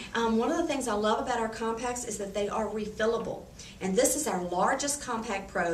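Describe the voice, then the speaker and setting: Amid noticeable background noise and audible room echo, a woman speaks at a fairly high pitch with ordinary pitch variation. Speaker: beauty consultant. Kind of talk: sales presentation. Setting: home party with guests.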